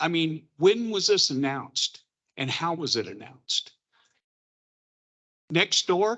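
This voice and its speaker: Speaking at a fairly slow pace, a man with a high pitch uses lively intonation. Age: 60s. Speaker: local resident. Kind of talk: public comment. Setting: public meeting in a church.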